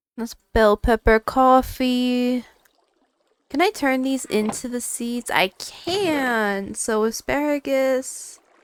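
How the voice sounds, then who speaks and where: Her voice is high-pitched for a woman, with ordinary pitch variation. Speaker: gaming video creator. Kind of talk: let's play commentary. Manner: casual, hesitant with fillers.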